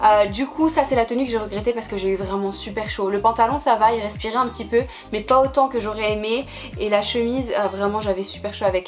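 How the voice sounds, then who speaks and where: Over background music, a woman talks at a fairly quick pace with a fairly high pitch and ordinary pitch variation. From France. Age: 20s. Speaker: fashion YouTuber. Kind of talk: casual talk to camera.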